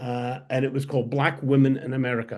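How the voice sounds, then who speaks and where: A man talks at a fairly quick pace. His pitch is medium. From Scotland. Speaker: historian and editor. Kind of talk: interview conversation. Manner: halting.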